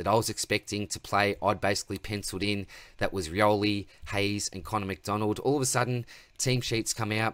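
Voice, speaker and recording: An ordinary speaking voice, a man with a fairly low pitch talks at a fairly quick pace with fairly even intonation in a dry sound with no echo. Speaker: fantasy sports channel host. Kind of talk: casual vlog chat. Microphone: webcam.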